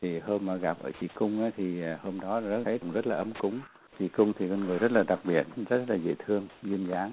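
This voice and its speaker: Fairly low male voice, fairly quick in pace, with ordinary pitch variation. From Vietnam. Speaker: refugee alumnus interviewee. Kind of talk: interview. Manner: halting.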